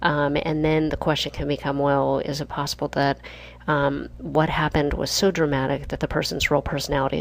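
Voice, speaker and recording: The voice is soft-spoken, with vocal fry and a flat, monotone delivery. It moves at a moderate pace. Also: woman. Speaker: leadership instructor. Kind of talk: lecture.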